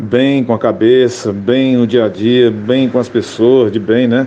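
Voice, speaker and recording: Amid noticeable background noise, a man speaks with medium pitch and fairly even intonation. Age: 60s. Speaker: radio comedian. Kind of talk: interview.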